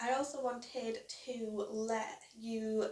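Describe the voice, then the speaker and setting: A woman speaks with a British accent in a fairly high pitch. Her intonation stays fairly even. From UK. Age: 20s. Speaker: crochet YouTuber and small business owner. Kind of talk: casual vlog introduction. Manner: casual, with fillers.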